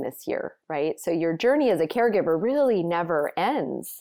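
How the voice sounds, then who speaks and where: On a very clean recording with a silent background, a woman with a plain, everyday voice speaks at a moderate pace and a fairly low pitch. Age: 50s. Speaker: nonprofit founder. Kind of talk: casual chat.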